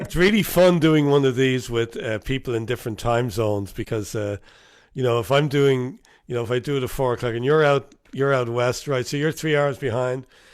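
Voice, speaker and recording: A man in an Irish accent, medium-pitched with ordinary pitch variation, at a fairly quick pace on a very clean recording with a silent background. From Ireland. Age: 60s. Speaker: talk show host and musician. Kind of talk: casual interview chat.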